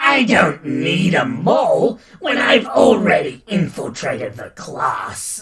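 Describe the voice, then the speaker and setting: This put-on character voice growls with a menacing tone at a fairly high pitch. The pace is fairly slow, there are hardly any pauses, and there is a slight echo. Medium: read story. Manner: menacing, gloating.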